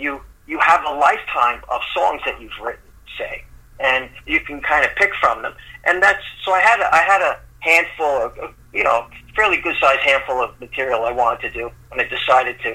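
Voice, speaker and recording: A man with a New York accent talks at a moderate pace. Noticeable background noise is present. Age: 60s. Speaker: singer-songwriter. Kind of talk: casual interview. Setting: remote call. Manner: halting, repeats words.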